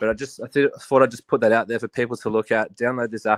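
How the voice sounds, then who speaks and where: With an Australian accent, a man speaks at a very fast pace and medium pitch, his intonation monotone and flat, in a dry, close sound with no echo. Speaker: army soldier calling into a livestream. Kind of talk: casual chat. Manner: halting.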